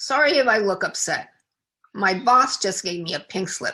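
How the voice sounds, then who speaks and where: Using a raspy, put-on character voice, a woman speaks at a moderate pace in a fairly high pitch. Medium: read story.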